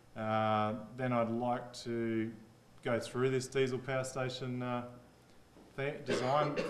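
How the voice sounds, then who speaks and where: A man's medium-pitched voice in an Australian accent, very slow and flat in a monotone, broken by long, frequent pauses, with audible room echo and noticeable background noise. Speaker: engineer presenting at a workshop. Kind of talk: workshop presentation. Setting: conference room with audience. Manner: casual, conversational.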